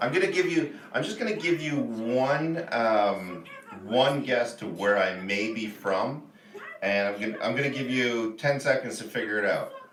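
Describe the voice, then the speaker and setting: A man with a Canadian accent speaks at a medium pitch and a moderate pace, with lively intonation and an animated tone. There is audible room echo and noticeable background noise. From Canada, Ontario. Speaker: livestreamer. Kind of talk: casual live stream chat. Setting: live stream.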